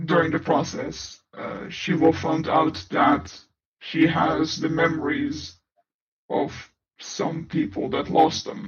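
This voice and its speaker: A man's put-on character voice, fairly high and fairly slow, with a slight echo. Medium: audio drama. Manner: formal, measured.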